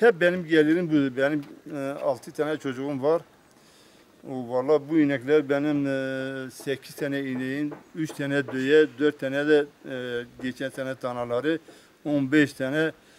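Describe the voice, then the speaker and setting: Noticeable background noise sits behind a man with a fairly high pitch. He talks at a fairly slow pace with fairly even intonation. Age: 60s. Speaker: farmer. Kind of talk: news interview. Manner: halting.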